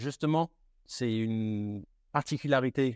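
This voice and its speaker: Recorded dry and close with no echo against a quiet background, a man with a slight British accent speaks at a medium pitch with ordinary pitch variation. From United Kingdom. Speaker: luxury retail manager. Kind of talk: interview. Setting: in a shop. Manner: halting.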